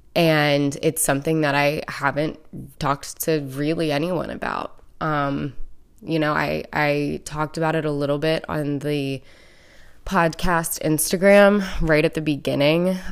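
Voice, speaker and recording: A woman's very deep, low voice, fairly slow and fairly even in intonation, in a very clean recording with a silent background. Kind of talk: personal monologue.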